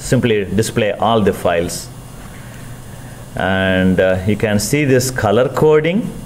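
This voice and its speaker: Against noticeable background noise and audible room echo, a man talks fairly slowly at medium pitch with ordinary pitch variation. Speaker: university lecturer. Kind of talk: lecture.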